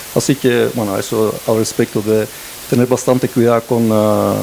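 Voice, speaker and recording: A man speaks at a moderate pace. Noticeable background noise sits behind him. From Belgium. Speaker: director of a digital transformation network, panelist. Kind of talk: panel discussion. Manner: hesitant, many fillers and restarts.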